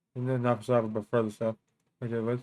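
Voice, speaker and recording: Speaking in a monotone, flat intonation, a man keeps to a medium pitch. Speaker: survival tips streamer. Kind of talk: tutorial. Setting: live stream. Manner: halting; fast.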